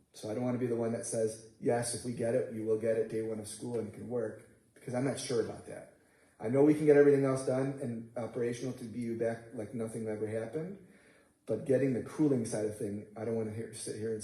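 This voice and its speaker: In a room with audible echo, a man talks very fast in a somewhat breathy, dark, mellow tone, his intonation fairly even and his loudness swinging widely. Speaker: construction manager presenting to school board. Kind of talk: board meeting presentation. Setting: school board meeting.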